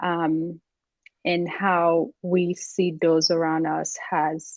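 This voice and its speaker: In a Haitian accent, a woman speaks at a very slow pace with a fairly low pitch and monotone, flat intonation. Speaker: executive coach. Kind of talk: interview. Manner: halting.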